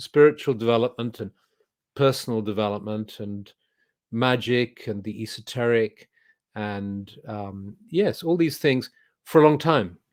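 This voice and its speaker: This man speaks with an English accent. His pitch variation is ordinary. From England. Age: 70s. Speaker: spiritual teacher. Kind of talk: interview. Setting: video call.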